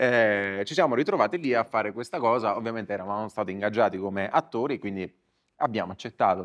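The background stays quiet. A man races through his words at a very fast pace. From Italy. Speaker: comedian. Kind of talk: live podcast chat. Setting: stage with audience. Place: stage. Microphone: lapel.

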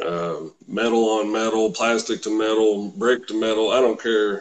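Moving at a moderate pace, the speech has hardly any pauses. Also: man. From Kentucky. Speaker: car salesman and RC scale model builder; car salesman. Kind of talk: interview, casual chat. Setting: live video call. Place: home room. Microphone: webcam.

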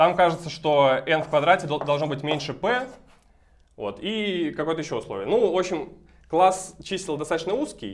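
With a high pitch and lively intonation, a man speaks at a moderate pace. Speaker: mathematics graduate student. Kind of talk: math lecture explanation. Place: classroom. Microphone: camera far.

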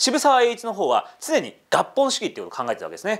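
A very fast-talking man, quiet background behind him. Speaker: history YouTuber. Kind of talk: casual history explainer. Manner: animated. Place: studio.

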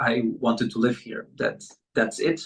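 Music plays in the background. The voice shows ordinary pitch variation. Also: man. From Peru. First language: Spanish. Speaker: pianist and bandoneonist. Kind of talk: interview. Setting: video call.

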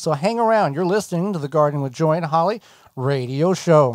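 Against a quiet background, a man speaks at a moderate pace with lively intonation in a dry sound with no echo. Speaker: radio host. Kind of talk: radio show patter. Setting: studio. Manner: conversational, upbeat, chatty. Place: studio.

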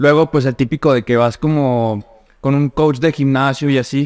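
A man, showing ordinary pitch variation, talks at a moderate pace. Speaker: nutritionist and fitness coach; fitness coach. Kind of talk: casual chat. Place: home room.

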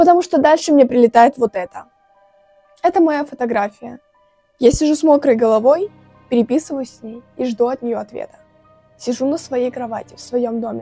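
A woman with a high pitch and ordinary pitch variation talks at a moderate pace with long, frequent pauses, faint music in the background. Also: dry sound with no echo. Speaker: vlogger. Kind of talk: casual vlog storytelling. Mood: tense mystery story. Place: home room. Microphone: lapel.

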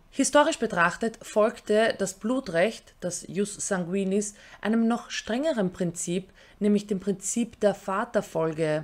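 At a very slow pace, a woman speaks. Her pitch is medium, with ordinary variation. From Austria. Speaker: YouTuber; political commentary vlogger. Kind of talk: scripted commentary. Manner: formal. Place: home room.

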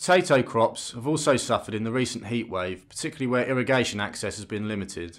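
A man with a British accent, medium pitch and lively intonation, talking very fast with hardly any pauses and big swings in loudness, on a very clean recording with a silent background. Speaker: news presenter. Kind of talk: formal newsreading of farming and harvest report. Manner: formal; measured, even, brisk delivery of figures.

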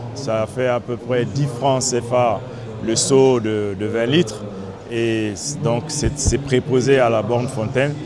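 Over clear music in the background, a man with a medium pitch speaks at a very slow pace with fairly even intonation, in a dry sound with no echo. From Mali. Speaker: water utility executive. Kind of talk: interview. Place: hall.

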